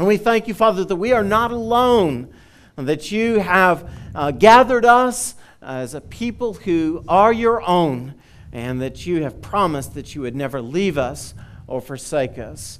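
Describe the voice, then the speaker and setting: Speaking at a fairly slow pace, a man with a high pitch shows big swings in loudness. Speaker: pastor. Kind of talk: welcome and prayer. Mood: warm, cheerful then reverent. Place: church. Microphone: headset.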